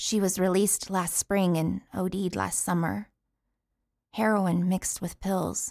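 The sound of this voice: In a put-on character voice, a woman speaks slowly at a fairly low pitch with fairly even intonation. Her tone is slightly mellow with vocal fry, in a very clean recording with a silent background.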